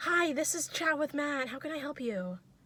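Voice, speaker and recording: A woman's put-on character voice, high in pitch, with lively intonation at a moderate pace. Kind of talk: polite. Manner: phone greeting.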